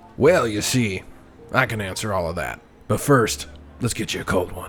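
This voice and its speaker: Over clear background music, a man puts on a raspy character voice at a fairly low pitch, speaking at a moderate pace with lively intonation. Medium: actual play. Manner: smooth, condescending.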